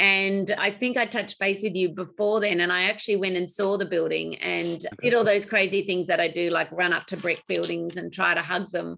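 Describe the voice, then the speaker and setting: A woman talks with an Australian accent in a bright, sharp tone with vocal fry. Her pace is fairly quick with hardly any pauses, and her intonation is fairly even. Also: medium pitch for a woman. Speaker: podcast host, industry association CEO. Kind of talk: interview. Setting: remote call.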